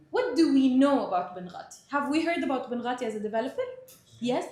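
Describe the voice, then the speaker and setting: Recorded with audible room echo, a woman speaks at a fairly quick pace in a high pitch that swings very widely. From Middle East (Palestinian Egyptian). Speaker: sales trainer. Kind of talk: training presentation.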